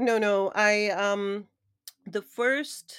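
A woman speaks with a normal speaking voice at medium pitch and ordinary pitch variation. The recording is very clean, with a silent background. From Canada. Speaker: brand and narrative expert, executive coach, investor. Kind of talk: interview conversation.

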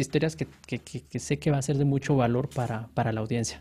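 The recording is very clean, its background silent. A man speaks very fast. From Guatemala, Guatemala City. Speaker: software engineer. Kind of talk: casual interview.

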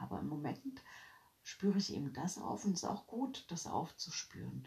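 A woman is speaking. Her voice has vocal fry. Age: 40s. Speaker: podcaster. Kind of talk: casual monologue. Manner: animated.

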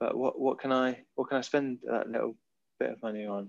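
At a moderate pace, a man talks in a southern English accent. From Oxfordshire, England. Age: 20s. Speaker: Olympic windsurfer. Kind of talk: interview.

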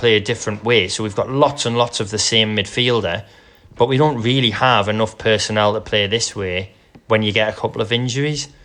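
Music in the background behind a man's medium pitch and ordinary pitch variation. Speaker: football podcast co-host. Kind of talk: casual banter chat. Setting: remote recording from separate buildings. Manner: joking, laughs often.

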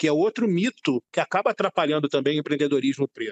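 In a dry, close recording with no echo, a man speaks with lively intonation. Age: 50s. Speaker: director, journalist and teacher. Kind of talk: interview discussion.

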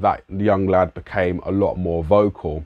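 A man with a London accent speaks at a fairly low pitch with fairly even intonation. The background is quiet. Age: 30s. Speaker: musician and youth worker. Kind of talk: solo reflective monologue. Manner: casual.

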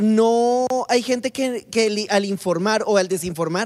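In an unremarkable speaking voice, a woman talks fairly slowly at a medium pitch with ordinary pitch variation. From Colombia. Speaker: podcast co-host. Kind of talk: casual chat.

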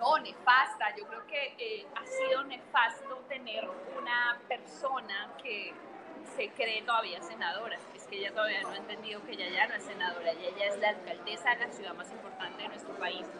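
A woman talks at a moderate pace in a fairly high pitch with ordinary pitch variation and big swings in loudness. Noticeable background noise and audible room echo surround her voice. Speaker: political scientist and political candidate. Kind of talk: interview. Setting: livestream.

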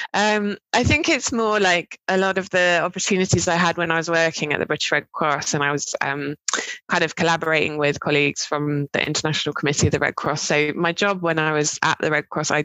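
A woman speaks in a fairly low voice with a southern English accent and ordinary pitch variation. Her pace is fairly quick, with hardly any pauses and very even loudness. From southern England (Dorset, Cambridge). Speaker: university lecturer. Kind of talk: interview.

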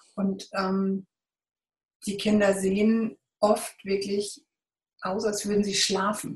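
A woman with a medium pitch sounds somewhat breathy, her intonation monotone and flat. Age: 40s. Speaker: volunteer photographer. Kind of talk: interview.

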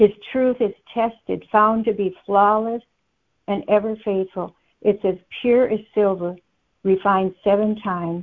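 A woman talks at a fairly slow pace in a medium pitch. Her intonation is fairly even, broken by long, frequent pauses. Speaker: conference call participant sharing a word. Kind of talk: scripture sharing and teaching.

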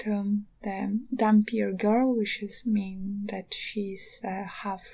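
Her voice is fairly high, dark and mellow, and somewhat breathy. The woman speaks at a very slow pace. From eastern Ukraine. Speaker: podcaster and artist. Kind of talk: casual monologue. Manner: halting.

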